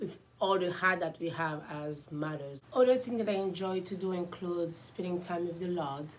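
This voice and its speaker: Speaking at a moderate pace with hardly any pauses, a woman with an Ivorian accent uses a fairly low voice in a space with audible room echo. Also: ordinary pitch variation. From Ivory Coast. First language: French. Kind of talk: casual self-introduction vlog.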